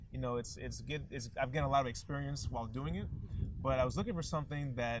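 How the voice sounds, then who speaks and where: A man with an American accent and a normal speaking voice keeps a medium pitch and ordinary pitch variation. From Indiana, West Lafayette. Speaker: startup co-founder. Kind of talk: interview.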